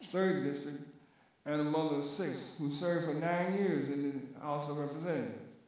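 A man talks with ordinary pitch variation. Strong room echo surrounds his voice. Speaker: committee chairman. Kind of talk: formal hearing. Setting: hearing room. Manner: halting. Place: hall.

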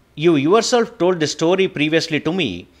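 A man delivers his lines in a dramatic tone with vocal fry. His pitch swings very widely. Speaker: audiobook narrator. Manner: measured, even-paced and formal, reading translated verse with dramatic reverence.

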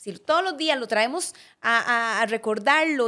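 Bright, sharp-toned speech from a woman with a Costa Rican accent, lively intonation, and a quiet background. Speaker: podcast co-host. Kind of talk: casual conversational podcast chat. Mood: reflective, earnest. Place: studio. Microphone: studio mic.

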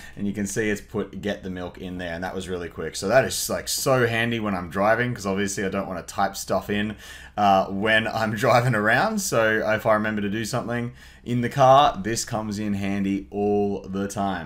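At a fairly quick pace, a man talks in a normal speaking voice, fairly low in pitch, with fairly even intonation. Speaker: tutorial host. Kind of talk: tutorial. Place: home room.

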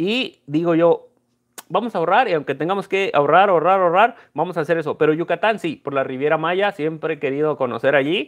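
This man has a high pitch with ordinary variation and an animated tone. He talks at a fairly quick pace over a quiet background. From Mexico, Guanajuato. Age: 30s. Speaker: coin dealer and YouTuber; YouTuber. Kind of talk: casual live stream chat. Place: home room. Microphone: earbuds.

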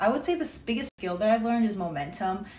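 A woman at a very fast pace with ordinary pitch variation, over light background noise. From Massachusetts, Cape Cod; Massachusetts. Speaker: online personal trainer. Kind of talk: testimonial. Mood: grateful, upbeat. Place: home room. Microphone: phone near.

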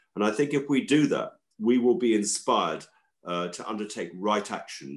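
Over a quiet background, a man with a southern English accent speaks at a moderate pace. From London, England. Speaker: organic farmer and food campaigner; podcast guest. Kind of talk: interview. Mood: calm, reflective. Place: home room. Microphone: video call.

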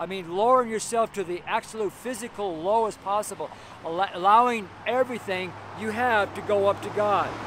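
The voice is loud at a moderate pace, with a dry sound with no echo and light background noise. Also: man, high pitch for a man. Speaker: street preacher. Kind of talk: sermon preached outdoors, preacher in full flow. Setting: outdoors on a street corner. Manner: fervent, animated, exclaiming with laughs; loud, raised voice over street noise. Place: street. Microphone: phone near.

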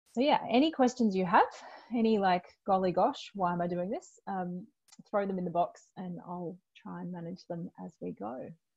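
A woman's fairly low, slightly mellow voice with vocal fry, a slightly husky edge, ordinary pitch variation and a moderate pace.

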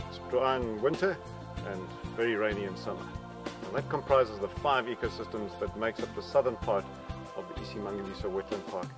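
A man at a very fast pace, dry sound with no echo, clear music in the background. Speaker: park guide. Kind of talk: guided tour talk. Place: open country.

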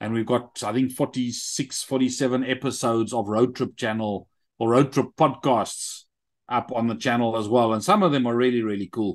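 At a moderate pace, a man with a South African accent speaks at medium pitch against a quiet background. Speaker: army veteran and app entrepreneur; interview guest. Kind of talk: interview. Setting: video call. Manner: animated. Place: home room. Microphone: video call.

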